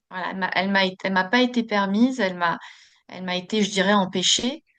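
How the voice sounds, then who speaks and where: A woman of medium pitch talks at a very fast pace with fairly even intonation against a quiet background. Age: 40s. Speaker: podcast guest, Reiki practitioner. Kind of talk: interview. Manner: hesitant, many fillers.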